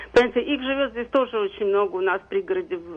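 A woman with a fairly high pitch speaks at a very fast pace, her intonation lively. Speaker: caller, social services worker. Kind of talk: call-in comment. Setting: phone call.

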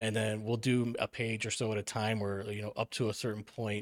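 In an ordinary speaking voice, a man with an American accent and a fairly low pitch talks at a fairly quick pace on a very clean recording with a silent background. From Milwaukee, Wisconsin, US Midwest. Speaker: author. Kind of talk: casual chat.

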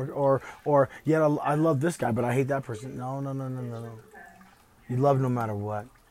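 Noticeable background noise sits behind a speaker with an American accent. The pace is fairly quick and the intonation fairly even. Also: man. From US South, Deep East Texas. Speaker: vlogger sharing personal views. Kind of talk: personal monologue. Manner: halting with many fillers.

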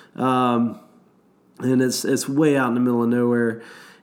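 Audible room echo hangs around the voice of a man as he talks. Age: 40s. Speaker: whitewater rafting guide. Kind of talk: casual chat.

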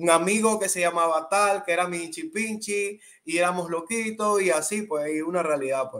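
A man with a Colón Panamanian accent speaks with hardly any pauses in a high-pitched, bright, sharp tone and ordinary pitch variation. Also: moderate pace. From Panama, Colón. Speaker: urban music artist. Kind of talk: interview.

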